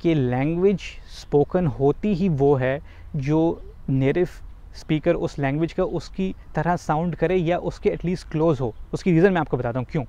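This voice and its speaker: A man speaks at a fairly slow pace with a fairly high pitch and ordinary pitch variation. His tone is dark and mellow, and the sound is dry with no echo. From Pakistan. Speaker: YouTuber. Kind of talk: vlog tutorial. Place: waterside. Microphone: lapel.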